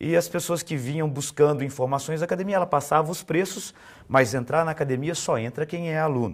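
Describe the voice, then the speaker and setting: A man's fairly high-pitched voice with ordinary pitch variation at a fairly quick pace, on a very clean recording with a silent background. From Minas Gerais, Brazil (Belo Horizonte). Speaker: fitness business consultant and author. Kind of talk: interview.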